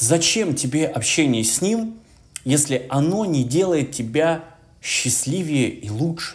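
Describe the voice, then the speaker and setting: A man's voice sits fairly high as he talks at a very slow pace. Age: 30s. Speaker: video blogger and music tutor; video blogger, music tutor. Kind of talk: motivational monologue. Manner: animated. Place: home room. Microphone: camera far.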